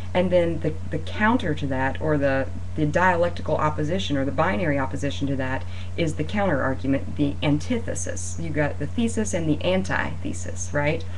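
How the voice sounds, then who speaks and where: The speaker talks at a fairly quick pace over light background noise. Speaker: student or instructor explaining a reading. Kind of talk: lecture. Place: home room. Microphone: webcam.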